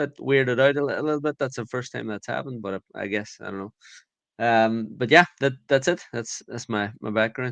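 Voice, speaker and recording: With an Irish accent, a man talks at a fairly quick pace, medium in pitch with ordinary pitch variation. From Ireland. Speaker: conference founder, guest co-host. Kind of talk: casual podcast chat. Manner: halting, many fillers.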